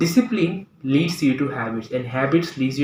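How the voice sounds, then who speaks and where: With noticeable background noise, a man with a Bangladeshi accent talks at a moderate pace and fairly high pitch, with ordinary pitch variation. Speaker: English teacher. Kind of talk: tutorial. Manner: halting.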